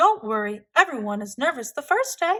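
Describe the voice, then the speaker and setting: A woman's high-pitched, put-on character voice at a moderate pace, with very wide pitch swings. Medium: read story. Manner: gushing, brisk.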